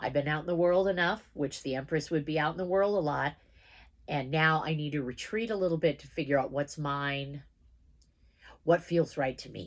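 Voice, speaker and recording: Her pitch very deep and low with ordinary variation, a woman speaks with big swings in loudness in a very clean recording with a silent background. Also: moderate pace. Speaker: tarot card reader. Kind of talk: live tarot reading. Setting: livestream video. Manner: casual, chatty.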